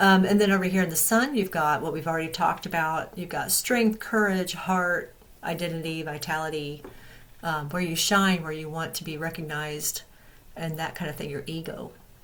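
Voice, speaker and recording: In a room with audible echo, a woman speaks at a moderate pace in a fairly low pitch. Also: ordinary pitch variation. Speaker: astrology and tarot youtuber. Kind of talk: astrology forecast talk. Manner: halting, many fillers.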